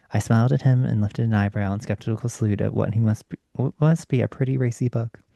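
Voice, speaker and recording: With an ordinary speaking voice, a man talks fairly quickly and fairly low in pitch, his pitch varying in an ordinary way, in a dry, close sound with no echo. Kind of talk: bedtime story reading, ASMR. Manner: soft-spoken, calm.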